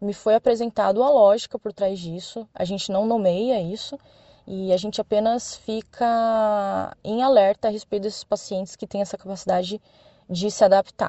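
This is a plain, everyday voice. A woman speaks at a medium pitch and a moderate pace with fairly even intonation. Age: 30s. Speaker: doctor. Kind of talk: prepared statement.

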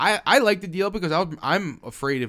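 A man's bright, sharp voice with vocal fry is captured on a very clean recording with a silent background. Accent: American. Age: 20s. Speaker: podcast co-host. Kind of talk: casual chat.

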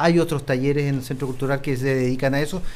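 A man speaks in a flat, monotone way at a fairly high pitch. The room gives an audible echo. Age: 40s. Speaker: music workshop coordinator. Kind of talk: radio interview.

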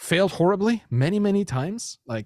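A man speaks with a German accent at a moderate pace and with lively intonation. The recording is very clean and dry, close with no echo, over a silent background. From Germany. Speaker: entrepreneur and podcaster. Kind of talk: interview.

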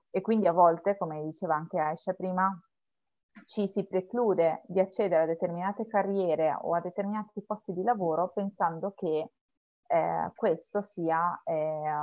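Here is a woman with a normal speaking voice. She has a fairly low pitch, fairly even intonation and a moderate pace. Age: 30s. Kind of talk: casual chat.

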